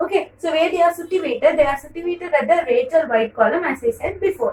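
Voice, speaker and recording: A woman with a Tamil accent talks at a very fast pace in an extremely high pitch with very wide pitch swings. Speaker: teacher. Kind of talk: lecture. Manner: halting.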